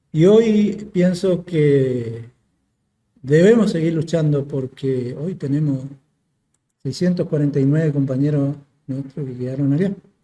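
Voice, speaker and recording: Speaking at a fairly slow pace, a man uses a fairly high pitch and ordinary pitch variation, his tone dark, mellow and somewhat breathy. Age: 60s. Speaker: war veteran. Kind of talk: interview testimony. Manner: halting, with fillers.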